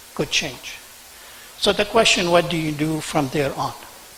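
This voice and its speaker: Fairly high-pitched male voice, fairly even intonation, noticeable background noise. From Senegal and Lebanon. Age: 60s. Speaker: business owner, award recipient. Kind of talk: acceptance speech.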